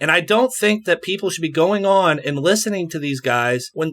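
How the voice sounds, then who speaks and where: In a slight West Virginia accent, a man speaks at a fairly quick pace with a high pitch, a bright, sharp tone and lively intonation. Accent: West Virginian, slight. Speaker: podcast guest, former alt-right follower. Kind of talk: podcast interview.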